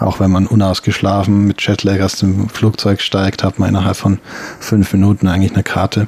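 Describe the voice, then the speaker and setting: Against noticeable background noise, a man talks at a fairly quick pace with a fairly low, monotone, flat intonation and very even loudness. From Bavaria, Germany (Regensburg). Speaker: sinologist. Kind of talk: interview. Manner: halting.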